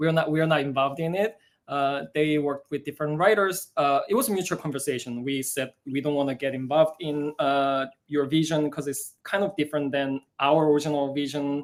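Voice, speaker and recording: Talking with a Korean accent, a man keeps a fairly quick pace and fairly even intonation. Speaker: musical theatre writer. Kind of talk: live Q&A chat. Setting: live broadcast. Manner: halting, many fillers.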